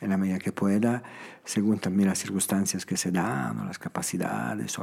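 A man's fairly low voice at a moderate pace against noticeable background noise. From Italy, Emilia mountains near Bologna. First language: Italian (speaking Spanish). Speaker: founder of a children's charity home. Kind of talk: interview conversation. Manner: halting, with frequent repetitions.

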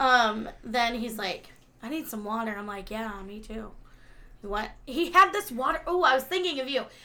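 An animated, bright, sharp tone with big swings in loudness. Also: woman, high pitch for a woman, lively intonation, moderate pace. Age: 30s. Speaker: podcast co-host. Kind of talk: casual chat.

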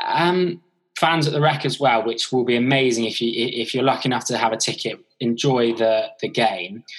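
A man with a plain, everyday voice talks at a moderate pace and medium pitch, his pitch varying in an ordinary way. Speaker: podcast host. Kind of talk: casual podcast interview.

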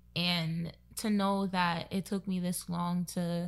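A woman is speaking. She has a Brooklyn accent. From Brooklyn, New York, Trinidadian family. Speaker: virtual assistant and contact tracer. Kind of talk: casual chat.

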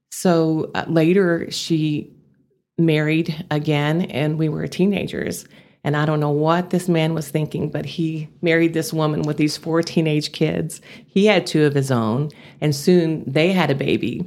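A woman with a Texas accent and a very deep, low voice, fairly slow, with fairly even intonation. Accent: Texas twang. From Amarillo, Texas. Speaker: business founder. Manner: down-home, conversational.

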